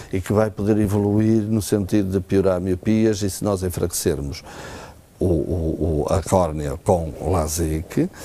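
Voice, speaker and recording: A man speaks at a fairly slow pace. His very deep, low voice shows ordinary pitch variation. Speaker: ophthalmologist. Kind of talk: TV health interview. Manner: hesitant, many fillers.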